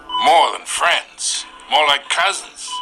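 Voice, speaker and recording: A cartoonish character voice over faint background music and sound effects. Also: man, high pitch for a man. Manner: smug, menacing.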